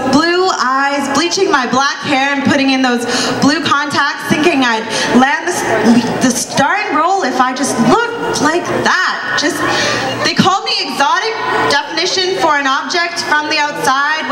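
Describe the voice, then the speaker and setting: Over loud background noise, a woman with a high pitch projects a raised voice at a fairly slow pace, her intonation lively. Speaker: spoken word poet. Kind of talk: spoken word poetry performance. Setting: live stage at cultural show. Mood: defiant, pointed. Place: cafe. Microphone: handheld.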